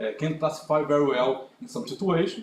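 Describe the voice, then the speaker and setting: The speaker talks at a fairly quick pace with ordinary pitch variation, and the room echo is audible. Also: man. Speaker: conference speaker. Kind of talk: conference talk with Q&A. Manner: halting.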